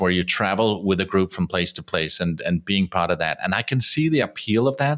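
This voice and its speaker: A man with a Danish accent has a very deep, low pitch. He talks at a moderate pace. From Denmark. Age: 50s. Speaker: radio producer and travel podcaster. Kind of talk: casual interview chat. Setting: video call.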